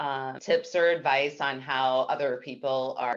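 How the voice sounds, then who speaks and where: A woman's very deep, low voice in a flat monotone. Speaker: marketing professional presenting at industry forum. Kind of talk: webinar presentation. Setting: video call. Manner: loud.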